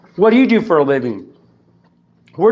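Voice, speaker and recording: A man speaks loudly. His tone is animated. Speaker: citizen activist. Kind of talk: confrontational argument.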